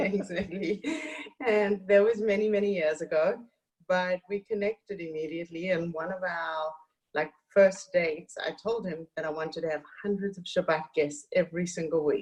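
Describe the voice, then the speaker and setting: Fairly even intonation marks this voice with a South African accent. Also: woman, medium pitch for a woman, moderate pace. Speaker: author and community activist. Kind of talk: interview.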